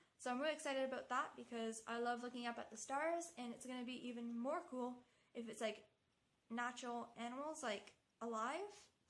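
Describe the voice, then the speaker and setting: A woman speaks at a fairly quick pace with a high pitch and ordinary pitch variation. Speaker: travel vlogger. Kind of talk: casual vlog monologue. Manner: fast; animated.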